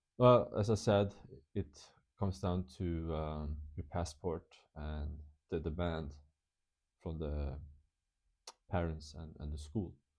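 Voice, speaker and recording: Speaking with a non-native accent, a man talks at a very slow pace in a very deep, low voice, with ordinary pitch variation and long, frequent pauses. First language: not English. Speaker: English teacher and vlogger. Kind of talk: casual vlog talk. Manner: halting, many fillers and restarts.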